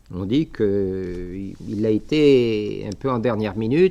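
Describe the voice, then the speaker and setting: A man with a slight Algerian accent speaks in a dark, mellow tone with ordinary pitch variation against a quiet background. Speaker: bishop, missionary priest. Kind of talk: lecture. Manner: halting, many hesitations.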